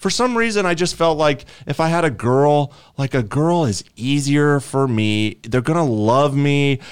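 Heard on a very clean recording with a silent background, a normal speaking voice moves at a fairly slow pace with lively intonation. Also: man, fairly high pitch for a man. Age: 30s. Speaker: podcast co-host, streamer and programmer. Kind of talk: casual chat. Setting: home recording room.

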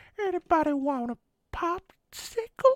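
The speaker puts on a character voice. It reaches an extremely high pitch. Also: moderate pace. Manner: jokey.

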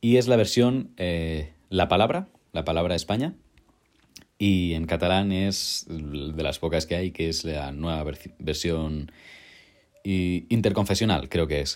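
The speaker goes at a fairly slow pace with long, frequent pauses on a very clean recording with a silent background. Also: man, very deep, low pitch for a man, ordinary pitch variation. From Catalonia, Spain (town near Barcelona). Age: 20s. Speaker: film student and Bible audiobook narrator. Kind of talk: casual interview.

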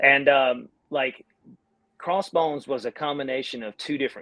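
Speaking at a medium pitch, a man talks with a Southern US accent. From North Carolina, US South. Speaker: band singer and guitarist. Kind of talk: casual interview chat. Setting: online live stream.

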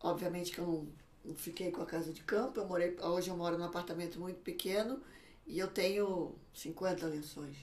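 A woman with a fairly low pitch speaks at a moderate pace with fairly even intonation. Hers is an unremarkable speaking voice. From Brazil, São Paulo. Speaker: social media consultant for emigrants. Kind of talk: casual interview. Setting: studio.

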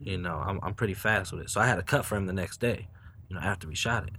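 This man speaks with an American accent at a fairly low pitch and ordinary pitch variation. The recording is very clean, with a silent background. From Newport News, Virginia. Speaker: photographer and filmmaker. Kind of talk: casual interview.

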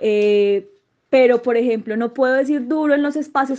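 Moderate pacing from a woman, her pitch varying in an ordinary way. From Colombia, Manizales. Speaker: sociologist and journalist. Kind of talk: interview. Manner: halting, many fillers.

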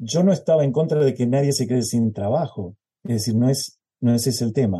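Somewhat breathy and dark, mellow in tone, a man speaks fairly quickly at a medium pitch with ordinary pitch variation. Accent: Rioplatense. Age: 70s. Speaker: choral conductor. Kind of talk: interview.

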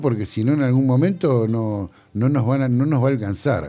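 A man speaks at a moderate pace in a medium pitch, his dark, mellow tone carrying ordinary pitch variation. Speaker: sound engineer and record producer. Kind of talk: interview. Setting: studio. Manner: halting.

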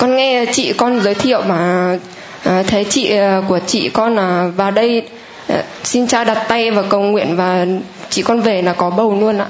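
Amid noticeable background noise and audible room echo, a woman speaks at a fairly slow pace and medium pitch with ordinary pitch variation. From Nam Dinh, northern Vietnam. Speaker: mother giving testimony. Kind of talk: testimony.

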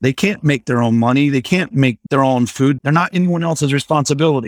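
With a dry, close sound and no echo, a man speaks at a fairly quick pace in an unremarkable speaking voice, fairly high in pitch with ordinary pitch variation. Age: 40s. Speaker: divorced father sharing his story. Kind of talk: casual interview.

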